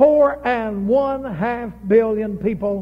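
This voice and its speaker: The speaker is a man with a high pitch. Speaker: preacher. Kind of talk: sermon. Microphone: old recording.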